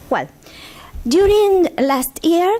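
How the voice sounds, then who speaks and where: A woman with a Spanish accent at a fairly slow pace. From Argentina. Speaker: intellectual property lawyer. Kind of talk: conference talk. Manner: halting.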